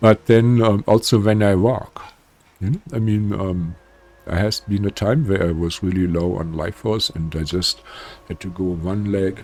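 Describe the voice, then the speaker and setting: The pace is moderate. The pitch variation is ordinary. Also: man. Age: 70s. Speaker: spiritual healer. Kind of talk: casual talk to camera. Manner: hesitant, many fillers.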